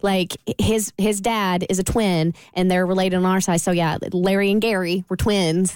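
Recorded very cleanly against a silent background, a woman with an American accent speaks at medium pitch. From Florida. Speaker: radio entertainment news host. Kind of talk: casual chat. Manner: animated.

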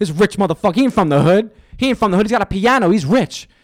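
An animated man with a New York accent, in a dry, close sound with no echo. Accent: New York, Staten Island. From Staten Island, New York. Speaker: actor and comedian. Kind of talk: casual chat, podcast interview. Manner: animated, profane.

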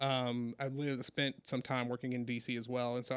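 A man with an American accent talks at a medium pitch and a fairly quick pace. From US South, Hattiesburg, Mississippi. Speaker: school board president and education advocate. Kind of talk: casual interview.

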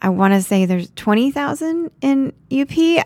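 The voice carries an American accent. Its pitch swings very widely. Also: woman. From Florida (Naples). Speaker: real estate agent. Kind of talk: casual interview.

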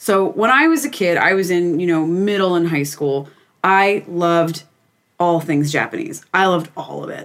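A woman's fairly low-pitched, unremarkable speaking voice at a moderate pace. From Pennsylvania. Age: 20s. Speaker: podcast guest. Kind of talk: casual chat.

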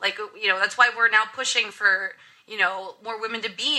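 At a fairly quick pace, a woman talks in an unremarkable speaking voice. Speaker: YouTuber. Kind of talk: casual panel discussion.

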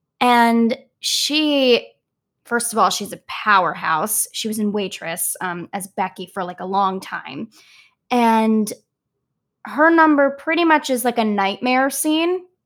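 A woman with an American accent talks very slowly at a fairly high pitch with very wide pitch swings, on a very clean recording with a silent background. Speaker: Broadway actress. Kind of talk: casual interview.

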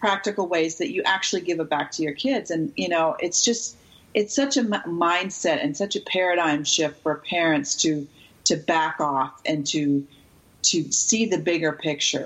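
Fairly low in pitch, this woman has an unremarkable speaking voice with lively intonation. Her moderate pace comes with very even loudness. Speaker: youth sports expert and author. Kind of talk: interview, casual chat.

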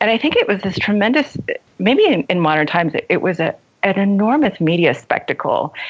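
The voice swings very widely in pitch, moves at a fairly quick pace, and keeps its loudness very even. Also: woman, medium pitch for a woman. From left Iran as a young child, raised in US. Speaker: novelist and creative writing teacher. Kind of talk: casual interview chat.

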